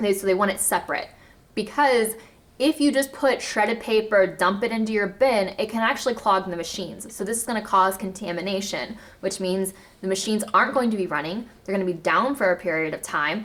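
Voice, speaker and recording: Speaking fairly quickly in an animated tone, a woman keeps a medium pitch with ordinary pitch variation. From US South, Arkansas. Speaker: zero waste lifestyle vlogger. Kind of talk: casual educational vlog.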